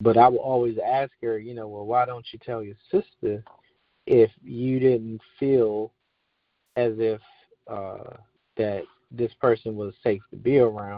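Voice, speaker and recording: Pausing long and often, a man talks at a fairly slow pace and a medium pitch, his intonation fairly even and his loudness swinging widely. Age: 40s. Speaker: army veteran. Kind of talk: interview. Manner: halting.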